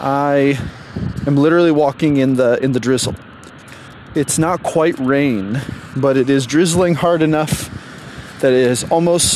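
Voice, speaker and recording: A man with a fairly high pitch speaks in a fairly even tone over noticeable background noise. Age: 30s. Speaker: dating coach podcaster. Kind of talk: solo motivational rant while walking. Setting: outdoors walking in drizzle, headphones, noisy. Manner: conversational with hesitations and filler.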